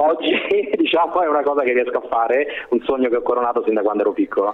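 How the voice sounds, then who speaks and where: A man talks at a very fast pace over noticeable background noise. His pitch is fairly high, with ordinary variation. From Rome, Italy. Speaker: basketball club press officer. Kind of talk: interview.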